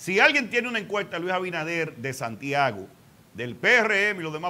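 Audible room echo follows a man whose tone is bright and sharp, his pitch fairly high and his intonation lively.

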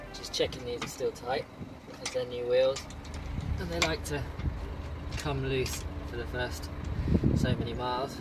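Over music in the background, the speech moves at a moderate pace broken by long, frequent pauses. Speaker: travel vlogger. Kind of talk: casual vlog chat. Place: street. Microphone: phone near.

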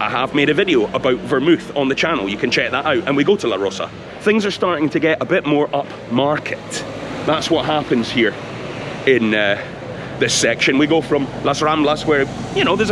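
Through noticeable background noise, a man with a Scottish accent talks at a fairly quick pace and fairly high pitch with lively intonation. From Scotland. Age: 40s. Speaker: travel vlogger. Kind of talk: informal walking tour commentary. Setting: outdoors walking in city streets. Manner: casual, chatty. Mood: relaxed, chatty. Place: street. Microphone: phone near.

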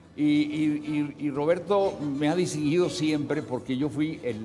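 Faint music plays behind a man who speaks at a fairly slow pace in a fairly high pitch. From northern Mexico (Saltillo, Coahuila). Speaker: actor. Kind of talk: TV interview answer. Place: studio.

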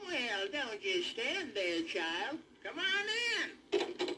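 A put-on character voice, high in pitch with very wide pitch swings, speaks at a very slow pace over clear background noise. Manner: sweet, coaxing, feigned.

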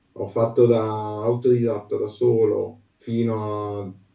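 The man has a dark, mellow tone. There is audible echo in the room, but the background is quiet. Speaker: aspiring singer; guest. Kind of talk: interview answer. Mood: earnest, a bit shy. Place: home room.

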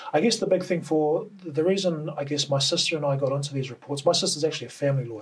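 Speaking with a New Zealand accent, a man uses a fairly high pitch and ordinary pitch variation. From New Zealand, Auckland. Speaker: cultural report writer. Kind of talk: interview. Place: studio.

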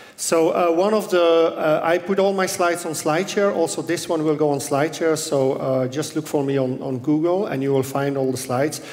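At a fairly quick pace and with hardly any pauses, a man speaks with ordinary pitch variation. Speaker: conference keynote speaker. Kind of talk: conference talk. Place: hall. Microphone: headset.

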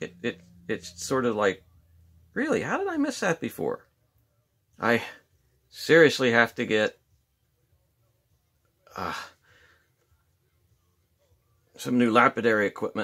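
The pace is fairly slow as a man speaks with long, frequent pauses. The background is quiet. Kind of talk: casual tutorial chat. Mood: easygoing, joking. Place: workshop. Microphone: phone near.

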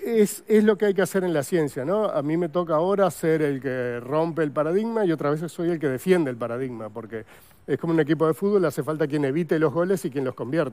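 Very fast and with hardly any pauses, a man speaks in a dark, mellow tone. His pitch is fairly high and his intonation lively. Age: 60s. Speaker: paleontologist; guest. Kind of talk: TV interview. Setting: TV studio. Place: studio. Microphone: lapel.

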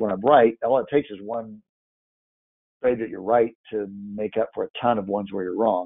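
A man with a plain, everyday voice, fairly low in pitch, with fairly even intonation and a fairly quick pace. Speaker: trading instructor. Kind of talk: live online class.

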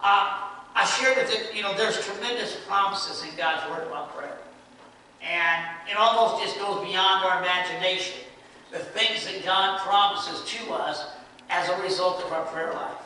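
A man talks in a raised, projected voice at a moderate pace with fairly even intonation. Strong room echo and light background noise fill the recording. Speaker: preacher. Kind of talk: sermon. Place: church. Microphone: camera far.

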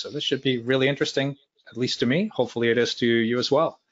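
A man rattles along at a very fast pace with a quiet background behind him. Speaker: user group host opening the meeting. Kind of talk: meeting introduction remarks. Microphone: video call.

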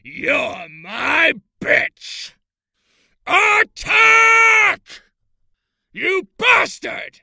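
Pausing long and often, a put-on character voice at an extremely high pitch drags along at a very slow pace. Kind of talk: character audition reel. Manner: shouting.

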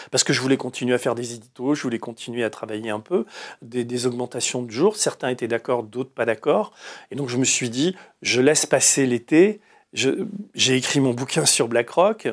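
Lively intonation marks this man's speech. He talks at a moderate pace over a quiet background. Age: 60s. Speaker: investigative journalist and writer; journalist, interviewee. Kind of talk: long-form interview. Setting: studio, live broadcast. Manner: halting, many repetitions and fillers. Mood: indignant, animated. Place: studio.

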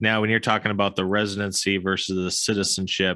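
Over a quiet background with dry sound and no echo, a man speaks fairly quickly in an American accent. His very deep, low voice is bright and sharp, with monotone, flat intonation. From US, Florida. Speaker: podcast host and investor; podcast host. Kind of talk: interview. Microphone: studio mic.

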